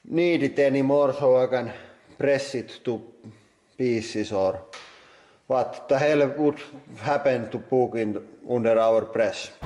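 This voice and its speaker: A man with a Finnish accent talks at a very slow pace. His pitch is fairly high, with ordinary pitch variation. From Finland. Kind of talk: casual talk to camera.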